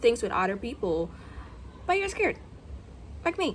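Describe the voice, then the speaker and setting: Someone speaks with an American accent against noticeable background noise. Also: woman. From Guyana. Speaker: content creator vlogger. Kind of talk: casual vlog monologue. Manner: unscripted, with filler words.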